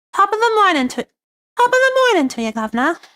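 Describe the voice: In a put-on character voice with a British accent, a woman speaks at an extremely high pitch. Her pitch swings very wide and her pace is very fast.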